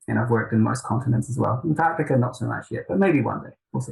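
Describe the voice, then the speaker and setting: Speaking at a medium pitch with ordinary pitch variation, a man talks in a New Zealand accent. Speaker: software product manager. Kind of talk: interview.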